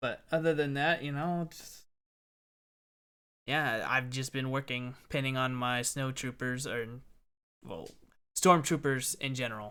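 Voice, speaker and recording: Soft-spoken and bright, sharp in tone, a man talks at medium pitch with fairly even intonation. His loudness swings widely, and he leaves long, frequent pauses. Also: fairly slow pace, very clean recording, silent background. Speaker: podcast host. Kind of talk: casual chat.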